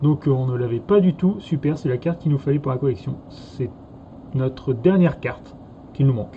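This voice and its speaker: This man speaks in a slight Norman accent at a moderate pace. His pitch is fairly high, with ordinary variation. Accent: slight Normandy. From Normandy, France. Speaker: card game youtuber. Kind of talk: casual chat.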